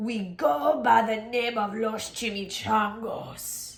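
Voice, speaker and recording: Using a put-on character voice, a woman growls at a fairly high pitch and a very slow pace with ordinary pitch variation. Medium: read story.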